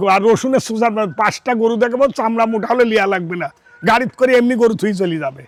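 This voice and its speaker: This man's voice is high in pitch, with ordinary pitch variation. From Bangladesh, Pabna (Ishwardi). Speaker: cattle farmer and dealer. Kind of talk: casual sales pitch on a farm.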